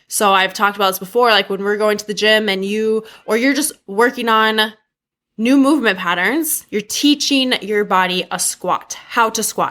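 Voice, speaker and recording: In a very clean recording with a silent background, a woman with a plain, everyday voice speaks at a moderate pace, her fairly high pitch showing ordinary variation. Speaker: podcast host. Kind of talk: podcast intro monologue.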